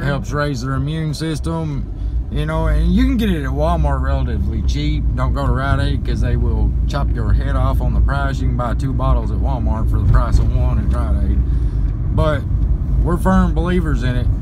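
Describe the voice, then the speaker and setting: Amid loud background noise, a man talks at a moderate pace, the sound dry with no echo. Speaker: parent vlogger. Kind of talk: casual vlog chat. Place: car. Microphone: phone near.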